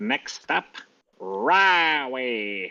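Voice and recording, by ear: This is a put-on character voice pitched low to middle.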